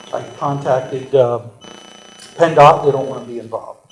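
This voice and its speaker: Noticeable background noise sits behind a man with a fairly high pitch. He keeps a moderate pace and a fairly even intonation. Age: 60s. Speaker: property owner at public comment. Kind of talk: public comment at a township meeting. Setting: township board meeting. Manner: halting, with repeated fillers.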